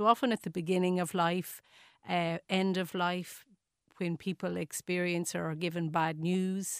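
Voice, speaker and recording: In an Irish accent, the speech is monotone and flat at a moderate pace, with a dry, close sound with no echo. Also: woman. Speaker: nursing professor. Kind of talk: radio interview. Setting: studio. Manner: hesitant, many fillers.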